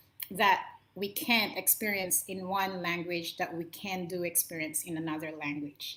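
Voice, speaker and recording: This woman speaks fairly slowly with a Filipino accent, her tone bright and sharp. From Philippines, Ilocano speaker. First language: Ilocano. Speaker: motivational talk show host. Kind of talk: solo talk to camera. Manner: impassioned.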